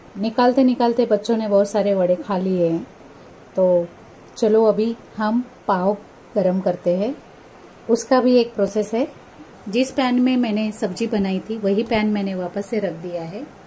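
A woman talks at a fairly slow pace with ordinary pitch variation. Long, frequent pauses come through over light background noise. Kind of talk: cooking tutorial. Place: kitchen. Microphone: phone near.

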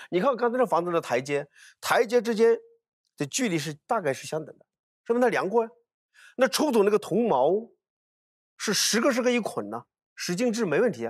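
A man speaks at a fairly quick pace against a quiet background. He takes long, frequent pauses. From Hunan, Hunan-Jiangxi border area; Hunan. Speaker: archaeologist; guest. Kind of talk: casual chat. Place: studio. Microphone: lapel.

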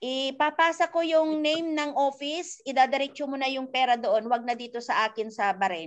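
Against a quiet background, a woman talks in a high pitch with lively intonation and hardly any pauses. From Philippines. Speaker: network marketing coach. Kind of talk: tutorial. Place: home room. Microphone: video call.

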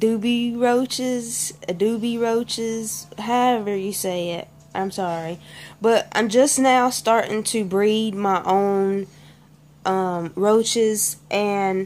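Music plays in the background. A woman with a Southern US accent and a fairly high voice speaks very slowly. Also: ordinary pitch variation. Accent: Southern American. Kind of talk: casual talk to camera.

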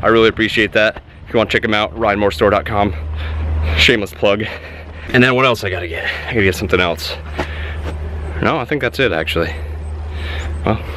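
Lively intonation carries speech delivered at a very fast pace. The sound is dry with no echo, though noticeable background noise is present. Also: man, fairly low pitch for a man. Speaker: vlogger. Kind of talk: casual vlog. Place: farm. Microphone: phone near.

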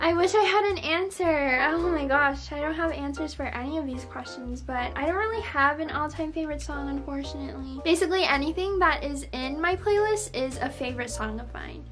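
A woman at a fairly quick pace with hardly any pauses, clear music in the background. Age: young. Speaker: beauty vlogger. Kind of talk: casual talk to camera. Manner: casual, chatty. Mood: relaxed, chatty. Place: home room. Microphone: phone near.

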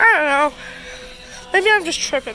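A woman speaks in a raised, projected voice over faint music in the background. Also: dry sound with no echo. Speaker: store tour vlogger. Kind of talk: casual vlog commentary. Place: shop. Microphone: phone near.

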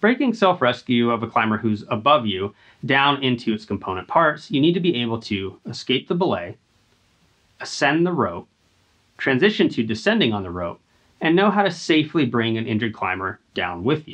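The speaker is a man, moving along fairly quickly. Nothing much is heard behind him. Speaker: climbing instructor. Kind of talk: tutorial. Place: gym.

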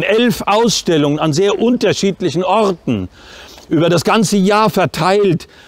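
The man's voice is high-pitched with ordinary pitch variation, recorded dry with no echo. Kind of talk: opening speech. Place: street.

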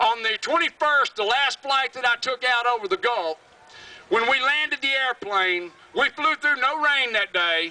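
A man with a Southern US accent speaks in a raised, projected voice at an extremely high pitch, his tone animated and passionate, his intonation lively, and the sound dry with no echo. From US South, Alabama. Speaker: environmental activist, creek keeper. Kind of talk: rally speech, fiery and defiant, addressed to a crowd. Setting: stage with audience at rally. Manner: passionate, angry, loud, blunt and emphatic; animated, storytelling with vivid detail. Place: stage.

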